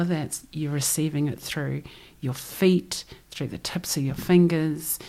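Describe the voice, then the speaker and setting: This voice has a New Zealand accent. It moves at a moderate pace with ordinary pitch variation. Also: woman. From New Zealand (Christchurch), Samoan parents. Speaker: ocean voyager and former journalist. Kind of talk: interview conversation.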